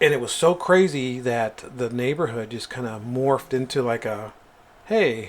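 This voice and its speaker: The pace here is moderate, and the pitch moves in an ordinary way. It is a normal speaking voice. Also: man, medium pitch for a man. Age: 50s. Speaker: podcast co-host. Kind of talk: casual chat.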